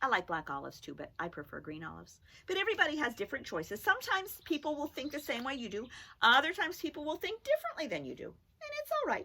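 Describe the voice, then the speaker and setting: A woman's animated voice at a very fast pace, with big swings in loudness. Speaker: teacher. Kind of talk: children's phonics lesson.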